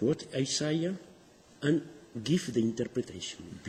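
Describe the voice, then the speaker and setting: A man speaks with a strong non-native accent and very wide pitch swings. His voice is somewhat breathy. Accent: thick foreign. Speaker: Dead Sea Scrolls scholar. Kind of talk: interview answer. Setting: poor recording, boosted.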